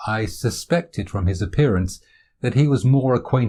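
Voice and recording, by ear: Over a quiet background, lively intonation marks a passage read aloud in a natural voice.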